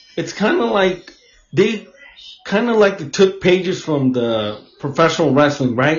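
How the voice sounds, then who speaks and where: A somewhat breathy man at a moderate pace. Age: 40s. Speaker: podcast host. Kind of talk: casual chat.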